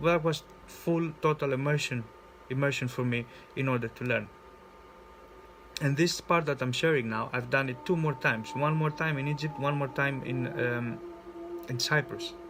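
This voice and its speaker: Over noticeable background noise, a man with a fairly high pitch talks at a moderate pace with fairly even intonation and long, frequent pauses. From Greece. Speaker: spiritual coach. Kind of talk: personal vlog monologue. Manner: halting, with many repetitions and fillers.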